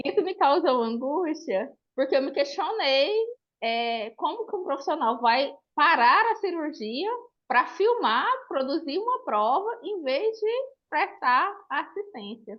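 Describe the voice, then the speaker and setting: Speaking very slowly, a woman with a high pitch makes very wide pitch swings. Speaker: audience member asking a question. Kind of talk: question from audience.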